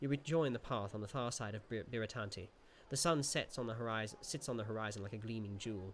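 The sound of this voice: The speaker reads in an unforced voice, the pitch shifting in an ordinary way.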